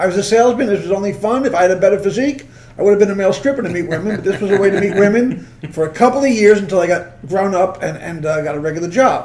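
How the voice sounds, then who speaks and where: A man with a New York accent mumbles at a very fast pace, with a high pitch and ordinary pitch variation. Audible room echo and noticeable background noise fill the recording. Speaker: comedian. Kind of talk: casual chat. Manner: fast, mumbling.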